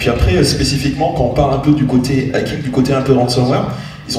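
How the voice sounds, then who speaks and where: A man's fairly even intonation comes through with noticeable background noise and audible room echo. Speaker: cybersecurity expert. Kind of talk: panel discussion. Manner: fast.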